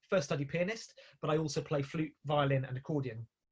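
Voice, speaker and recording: This man talks at a fairly quick pace with a fairly high pitch. His voice is somewhat breathy. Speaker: composer and musical director. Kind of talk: online talk. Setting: video call. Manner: fast; hesitant.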